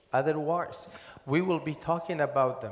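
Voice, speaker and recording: Amid noticeable background noise and audible room echo, a man talks in a fairly high pitch with fairly even intonation. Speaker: academic expert on missing persons. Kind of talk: panel discussion. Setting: conference hall with audience. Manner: loud.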